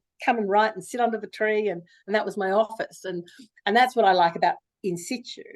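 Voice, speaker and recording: A woman talking at a very fast pace, her intonation lively. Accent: Australian. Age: 60s. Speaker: novelist. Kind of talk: interview. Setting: video call.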